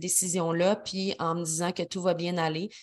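Here is a woman with a Quebec accent. She talks at a medium pitch and a fairly slow pace. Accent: Québécois French. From Quebec City, Quebec. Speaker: podcast host. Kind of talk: casual solo podcast monologue.

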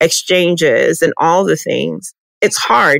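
A woman with a Texan accent speaks in a fairly low voice, the sound dry and close with no echo. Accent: Texan American English. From Texas. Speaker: podcast host. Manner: animated.

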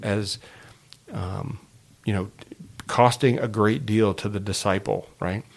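Here a man speaks with an American accent at a fairly low pitch. His pace is moderate. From Indiana, US. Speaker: senior pastor. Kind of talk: podcast conversation, teaching overview. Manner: halting, many fillers.

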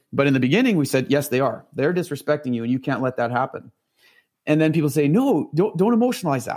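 A man with a Canadian accent speaks in a plain, everyday voice at a fairly quick pace, his fairly high pitch moving in lively intonation over a very clean recording with a silent background. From Northern Ontario, Canada. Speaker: horse trainer. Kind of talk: interview conversation.

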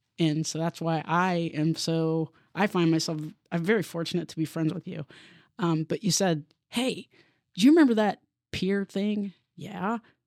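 Using a US Midwestern accent, a woman with a fairly low pitch and ordinary pitch variation talks at a moderate pace, leaving long, frequent pauses. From Columbus, Ohio (US Midwest). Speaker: police deputy chief. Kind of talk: interview conversation.

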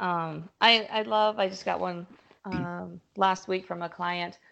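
This woman has a normal speaking voice with a fairly low pitch. Her pace is fairly slow. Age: 30s. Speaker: physical therapist. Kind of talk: interview.

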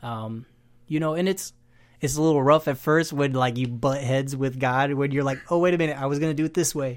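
In an American accent, an ordinary speaking voice talks at a fairly quick pace with fairly even intonation. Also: man, fairly high pitch for a man. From Haiti (raised there from age 7, American family). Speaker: church deacon and missionary nurse. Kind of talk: casual chat.

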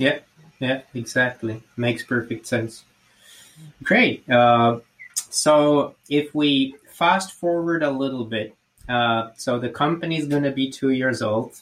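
A man speaks with a Slovak accent at a very slow pace. His pitch is medium, with ordinary variation. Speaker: podcast host. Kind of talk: interview.

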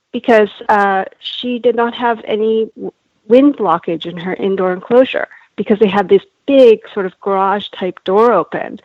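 A woman with a Canadian accent has a normal speaking voice at a fairly high pitch. She keeps a moderate pace and ordinary pitch variation. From Canada. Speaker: animal welfare campaigner. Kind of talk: interview.

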